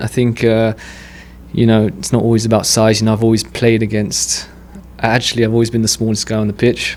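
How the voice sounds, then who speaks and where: Medium-pitched man at a fairly quick pace with long, frequent pauses, against noticeable background noise. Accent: English. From England. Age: 30s. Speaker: amateur boxer. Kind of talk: podcast interview.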